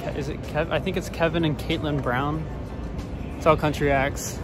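A man's voice with music in the background and dry sound with no echo. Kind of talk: casual vlog chat. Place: street. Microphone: phone near.

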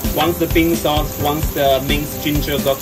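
A man talks at a moderate pace. Clear music plays in the background. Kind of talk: tutorial. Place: boat. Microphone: phone near.

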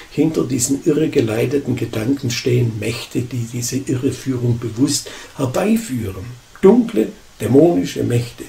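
A man speaks at a moderate pace with ordinary pitch variation. His tone is dark and mellow, and somewhat breathy. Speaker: pastor. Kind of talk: sermon. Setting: church. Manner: emphatic, forceful preaching.

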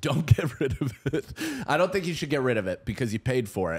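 His pitch swings very widely as a man speaks at a fairly quick speed. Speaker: comedian. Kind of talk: casual chat. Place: studio. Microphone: studio mic.

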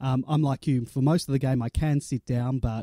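With an Australian accent and a dark, mellow tone, a man speaks at a moderate pace with fairly even intonation in a dry, close sound with no echo. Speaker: podcast host. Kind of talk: casual chat.

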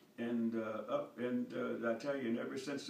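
Amid light background noise and audible room echo, a man speaks at a medium pitch with fairly even intonation. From North Carolina, US. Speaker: war veteran. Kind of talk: interview answer. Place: home room. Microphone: camera far.

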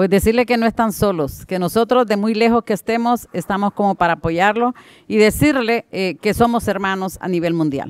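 A woman talks at a moderate pace with a medium pitch. The sound is dry with no echo, and the background is quiet. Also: ordinary pitch variation. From Honduras. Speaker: mother of missing migrant, activist. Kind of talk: panel discussion. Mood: earnest, heartfelt. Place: hall. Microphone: podium.

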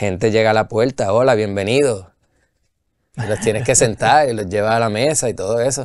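Against a quiet background, the speaker keeps a moderate pace with fairly even intonation. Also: man, medium pitch for a man. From Puerto Rico. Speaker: brewery owner and brewer; guest. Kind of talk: casual interview chat. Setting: studio. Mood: relaxed, friendly storytelling. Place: studio.

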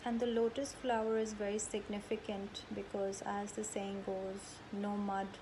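A woman talks in a calm, soothing tone at medium pitch and a fairly slow pace. Her intonation is flat and monotone, with noticeable background noise behind her. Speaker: yoga teacher leading meditation. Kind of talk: guided meditation. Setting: video call. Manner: slow, calm, soothing with long pauses; gentle, instructive. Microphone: video call.

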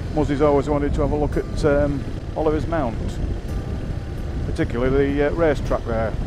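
The recording has a dry sound with no echo and noticeable background noise. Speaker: motorcycle rider vlogger. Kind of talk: casual vlog commentary. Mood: relaxed, cheerful. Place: motorbike. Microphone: helmet.

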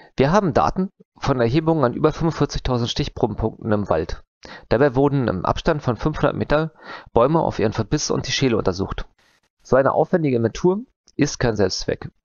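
At a fairly quick pace, the speech sounds dry with no echo, over a quiet background. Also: man. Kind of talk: conference talk. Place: home room. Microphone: headset.

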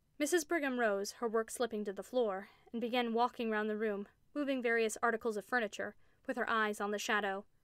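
A natural voice, reading aloud.

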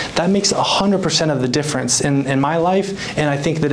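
A man with an American accent and a fairly high voice, talking at a fairly quick pace over light background noise. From US Pacific Northwest, Whatcom County, Washington. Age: 20s. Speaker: mental health speaker and author. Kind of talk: motivational talk. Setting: office meeting room, filmed. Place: meeting room.

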